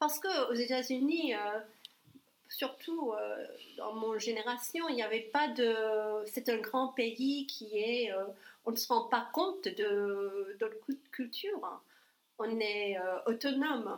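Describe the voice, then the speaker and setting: A woman speaks with an English accent at a fairly high pitch. Her pace is very slow and her intonation lively. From US South, New Orleans, Louisiana. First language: English (speaking French). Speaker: ESL teacher and real estate agent. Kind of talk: casual interview chat. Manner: halting, with repetitions.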